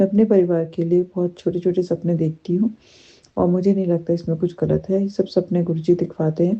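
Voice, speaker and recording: A soft-spoken woman talks at a moderate pace in a fairly low pitch, her intonation monotone and flat. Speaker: devotee sharing gratitude, teacher. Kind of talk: devotional testimony. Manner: halting.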